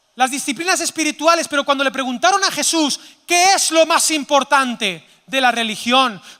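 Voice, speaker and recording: An extremely high-pitched man, raised and projected, animated, with lively intonation and a bright, sharp tone. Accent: Zaragoza. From Spain, Zaragoza (Aragon). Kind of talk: sermon-style conference talk. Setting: stage with audience. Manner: animated, interactive with audience.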